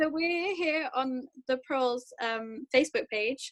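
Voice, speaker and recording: In a British accent, a woman with a high voice speaks at a very slow pace. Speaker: student guest interviewer. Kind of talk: interview.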